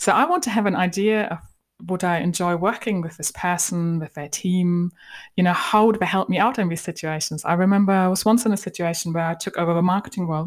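Talking at a very fast pace, a woman with a German accent and medium pitch comes through on a very clean recording with a silent background. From Germany. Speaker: marketing coach. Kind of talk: podcast interview. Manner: animated.

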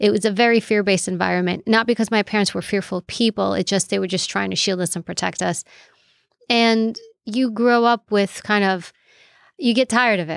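In a very clean recording with a silent background, a woman talks at a fairly quick pace in a medium pitch with fairly even intonation, the sound dry and close with no echo. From New York City. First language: Greek. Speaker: former federal agent, author and professor. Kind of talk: casual interview chat.

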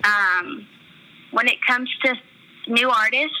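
With noticeable background noise behind her, a woman talks at a fairly slow pace with ordinary pitch variation. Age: 20s. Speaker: country radio DJ. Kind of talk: casual interview.

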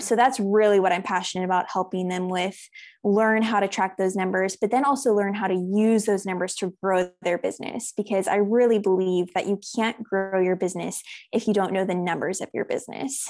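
A woman with an American accent and an ordinary speaking voice talks at medium pitch in a very clean recording with a silent background. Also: fairly even intonation. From United States, raised in South Africa from age six. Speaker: accountant. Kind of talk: interview.

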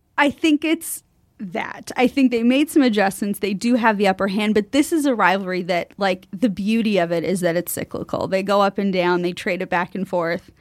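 Speaking at a medium pitch and a moderate pace with hardly any pauses, a woman has an unremarkable speaking voice, captured on a very clean recording with a silent background and a dry, close sound with no echo. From Canada. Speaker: sports broadcaster. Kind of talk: casual chat. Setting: studio.

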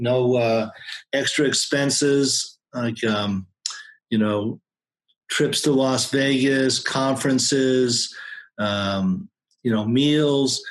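Very slowly and with long, frequent pauses, a man speaks at a medium pitch with fairly even intonation and very even loudness. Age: 60s. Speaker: accountant. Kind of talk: interview. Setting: home office.

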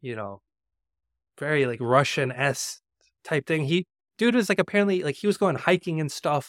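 Recorded dry and close with no echo on a very clean track with a silent background, a man with an American accent talks at a fairly quick pace. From US South, Georgia. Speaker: journalist. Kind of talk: casual chat. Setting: live stream. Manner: animated.

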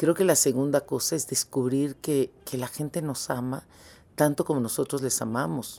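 A woman with a very deep, low pitch and a dark, mellow tone talks at a moderate pace with ordinary pitch variation. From Mexico. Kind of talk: interview.

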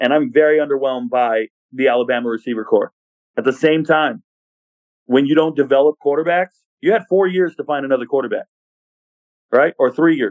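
An American-accented man speaks at a fairly quick pace in a fairly high pitch. He takes long, frequent pauses. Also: ordinary pitch variation. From Southern California. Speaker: college football content creator. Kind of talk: casual interview chat.

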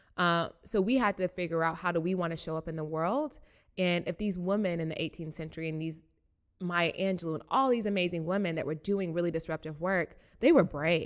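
A woman with an American accent has an ordinary speaking voice and a fairly low pitch. She talks at a fairly quick pace with ordinary pitch variation. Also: very clean recording, silent background. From US South, Chattanooga, Tennessee. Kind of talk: interview.

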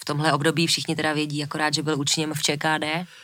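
A woman with a very deep, low pitch talks at a fairly quick pace on a very clean recording with a silent background. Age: 30s. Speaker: podcast co-host. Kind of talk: podcast conversation.

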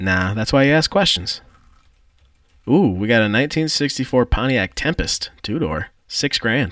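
Against a silent background on a very clean recording, a man at a medium pitch talks at a moderate pace with very wide pitch swings. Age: 30s. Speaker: car podcast co-host. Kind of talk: casual chat.

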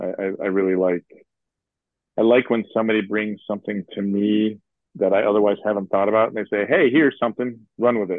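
A normal speaking voice from a man with an American accent, fairly low in pitch, at a fairly quick pace with fairly even intonation. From US Midwest, Chicago. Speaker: composer. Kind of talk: casual interview chat.

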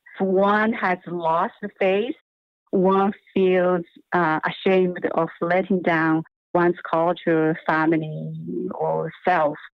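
This woman talks very slowly in a Chinese accent, at a fairly low pitch. Her intonation is flat and monotone, and her loudness stays very even. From China. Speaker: performance and new media artist. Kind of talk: interview. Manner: halting.

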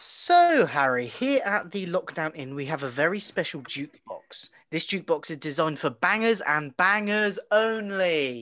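At a moderate pace and with hardly any pauses, a man with a high-pitched, bright, sharp tone swings his pitch very widely. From southwest England. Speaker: podcast host. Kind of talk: casual chat. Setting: remote recording from home.

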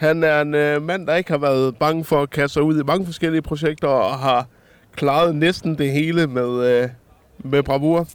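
At a moderate pace, a man with a plain, everyday voice speaks at a fairly high pitch, with very even loudness and fairly even intonation. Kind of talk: casual chat. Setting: outdoors at a harbour.

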